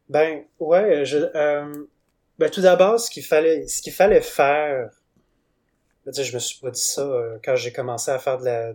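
Loudness swings widely between long, frequent pauses in this very clean recording with a silent background. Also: man, fairly high pitch for a man, ordinary pitch variation, fairly slow pace. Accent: Quebec. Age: 20s. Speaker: comic book artist. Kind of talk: interview. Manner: halting.

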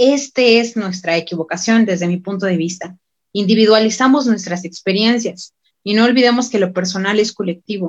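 A woman with a medium pitch speaks at a moderate pace in an ordinary speaking voice. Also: ordinary pitch variation. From Mexico, Michoacán (Morelia). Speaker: university student and activist. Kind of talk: panel discussion.

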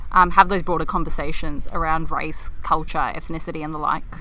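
Speaking with an Australian accent, a woman uses a bright, sharp tone, ordinary pitch variation and a fairly quick pace, with audible room echo. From Melbourne, Australia. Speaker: podcast co-host. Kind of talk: casual chat. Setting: outdoors in a park.

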